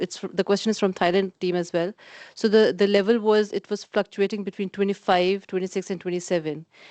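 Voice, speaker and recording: In a quiet background, a woman of medium pitch talks in a monotone, flat way, with dry, close sound and no echo. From Pakistan. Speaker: conference participant asking questions. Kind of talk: Q&A at a research forum. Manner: halting, many fillers.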